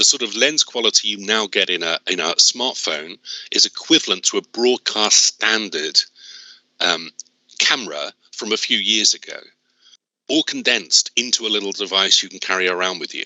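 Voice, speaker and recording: A man at a moderate pace, with big swings in loudness. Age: 60s. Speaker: business skills trainer. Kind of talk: workshop presentation.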